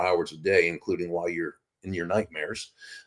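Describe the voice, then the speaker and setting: A man talks at a fairly quick pace in a very clean recording against a silent background. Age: 60s. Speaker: author and professional speaker. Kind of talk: interview.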